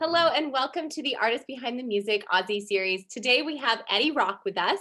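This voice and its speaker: With a Canadian accent, a woman speaks in a raised, projected voice at a fairly quick pace. Her pitch is high, her intonation lively, and her tone bright and sharp. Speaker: interview show host. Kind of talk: video interview.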